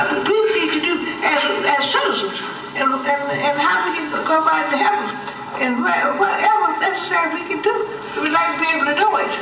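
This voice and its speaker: A woman speaks in a raised, projected voice with very wide pitch swings and long, frequent pauses, over noticeable background noise and audible room echo. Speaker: retired school worker. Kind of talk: public meeting remarks. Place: car.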